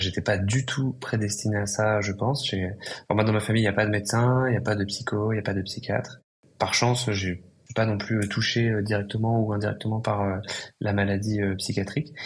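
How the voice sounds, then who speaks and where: A man talks at a fairly quick pace in a fairly low, somewhat breathy voice. His intonation remains fairly even. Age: 20s. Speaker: psychiatrist and entrepreneur. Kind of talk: podcast interview. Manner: hesitant, many fillers.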